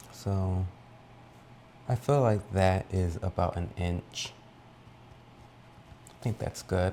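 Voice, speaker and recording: Soft-spoken and very slow, a man with a very deep, low pitch and a dark, mellow tone uses ordinary pitch variation, big swings in loudness, and long, frequent pauses. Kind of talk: ASMR baking tutorial.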